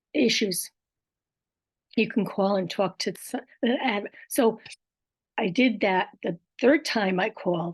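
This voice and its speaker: A somewhat breathy voice at a very slow pace, long, frequent pauses, ordinary pitch variation, and a dry, close sound with no echo. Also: woman, medium pitch for a woman. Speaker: podcast host living with aphasia and apraxia. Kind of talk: casual personal talk to camera.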